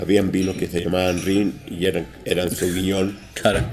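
A man's voice sits at a very deep, low pitch with monotone, flat intonation. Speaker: hotel maître d'. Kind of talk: interview. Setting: mountain hotel, on location.

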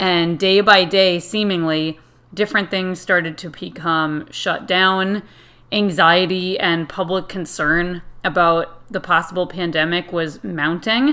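A woman with an American accent talks at a fairly slow pace and a fairly low pitch, with fairly even intonation. It is a plain, everyday voice. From Connecticut, US. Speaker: podcast host and Irish dance teacher. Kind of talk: solo podcast monologue.

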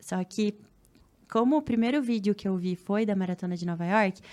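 The recording is very clean, with a silent background. A woman speaks at medium pitch and a moderate pace, with ordinary pitch variation. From Paraná, Brazil (Cascavel, interior). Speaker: triathlete and influencer. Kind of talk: casual chat.

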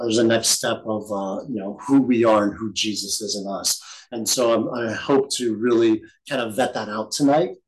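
A man speaks in a normal speaking voice at a medium pitch. His pace is moderate and his pitch variation ordinary. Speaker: bible study teacher. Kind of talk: bible study teaching. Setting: recorded group session.

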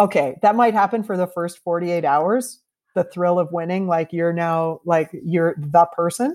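With a Canadian accent, a woman uses an ordinary speaking voice at a fairly low pitch. She keeps a moderate pace with ordinary pitch variation. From Canada, Toronto. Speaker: bartender and bitters company founder. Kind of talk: interview. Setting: remote call over the internet.

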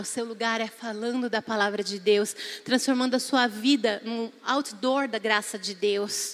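At a fairly slow pace, a woman speaks in a fairly high voice. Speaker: preacher. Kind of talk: sermon. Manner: animated.

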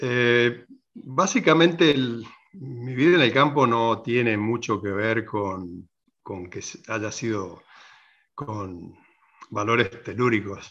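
A man of medium pitch at a very slow pace, with long, frequent pauses, big swings in loudness and ordinary pitch variation. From Argentina, southwest Córdoba province. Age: 60s. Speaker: farmer. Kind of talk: interview. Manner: halting, many repetitions.

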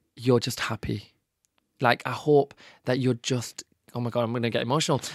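A man's medium-pitched voice with a British accent at a fairly quick pace, dry and close with no echo, in a very clean recording with a silent background. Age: 30s. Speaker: social media content creator, former teacher. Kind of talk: casual interview chat. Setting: studio.

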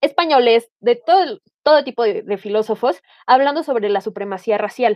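Her speech is fairly slow, with a woman's fairly high pitch, lively intonation and a plain, everyday voice. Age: 20s. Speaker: history teacher. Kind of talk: panel discussion.

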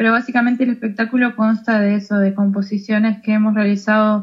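A woman's fairly high, somewhat breathy voice in a Uruguayan accent, monotone and flat in intonation. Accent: Rioplatense Uruguayan Spanish. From Uruguay, Colonia department. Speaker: tango singer and psychologist. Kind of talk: interview.

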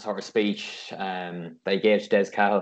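A man speaks with an Irish accent. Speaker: podcast host. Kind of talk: casual interview.

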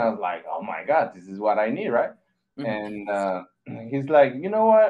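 A man speaks with a Mexican accent. His pace is moderate. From Mexico. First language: Spanish. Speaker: graphic designer. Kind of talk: casual interview. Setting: video call.

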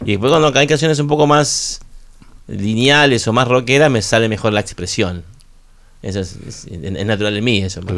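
The delivery has lively intonation and a moderate pace in a normal speaking voice. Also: man, medium pitch for a man. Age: 50s. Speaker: rock musician. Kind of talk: radio interview. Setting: radio studio.

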